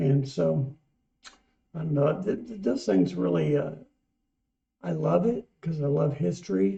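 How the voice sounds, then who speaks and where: A man with a fairly high pitch and a dark, mellow tone speaks somewhat breathily at a fairly slow pace. His pitch swings very widely, broken by long, frequent pauses. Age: 60s. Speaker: music reaction channel co-host. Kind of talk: casual chat.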